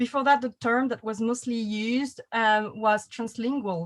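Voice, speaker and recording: In a French accent, a woman speaks with a fairly high pitch and fairly even intonation on a very clean recording with a silent background. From France. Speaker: panel host, writer. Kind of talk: panel discussion moderation.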